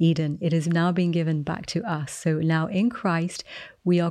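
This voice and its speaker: Here a woman speaks with an English accent at a fairly low pitch. The background is quiet. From England. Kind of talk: devotional teaching and prayer.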